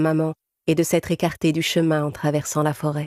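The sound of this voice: Over a very clean recording with a silent background, a woman speaks at a fairly quick pace in a low, slightly mellow voice with little pitch movement.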